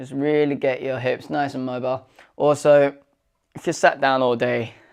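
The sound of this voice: In a very clean recording with a silent background, a man talks at a medium pitch with vocal fry.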